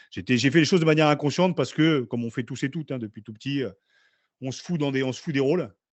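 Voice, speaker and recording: A man's very fast speech with ordinary pitch variation and big swings in loudness. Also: fairly high pitch for a man. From northern France, Picardy (Beauvais area). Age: 40s. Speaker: former rugby player. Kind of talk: podcast interview. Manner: casual.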